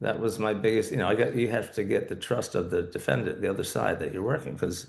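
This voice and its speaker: This man talks at a very fast pace. His words come out quickly. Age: 60s. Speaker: trial lawyer. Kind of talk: casual chat. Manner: halting.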